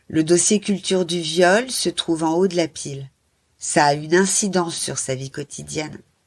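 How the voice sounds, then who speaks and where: A woman of medium pitch speaks at a very slow pace with ordinary pitch variation on a very clean recording with a silent background. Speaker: author. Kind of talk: reading aloud. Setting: live event with audience.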